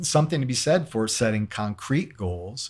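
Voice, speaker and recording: With an American accent, this somewhat breathy voice swings very widely in pitch on a very clean recording with a silent background. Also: man. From US Midwest (Cleveland, Ohio). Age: 60s. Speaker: guitarist and radio host. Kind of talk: interview conversation. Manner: hesitant, many fillers.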